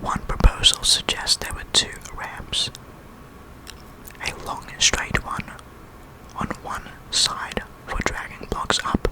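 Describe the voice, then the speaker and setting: Whispering at a very slow pace with long, frequent pauses, a man shows big swings in loudness against noticeable background noise. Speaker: ASMR creator. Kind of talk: ASMR educational narration. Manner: whispered.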